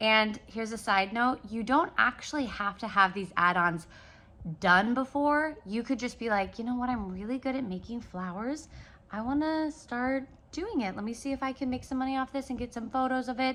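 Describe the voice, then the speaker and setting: The background stays quiet as a woman speaks in a high pitch. Her tone is bright and sharp, with ordinary pitch variation. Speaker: business coach and caterer. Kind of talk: casual vlog tutorial. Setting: handheld selfie vlog, close to camera. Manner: fast.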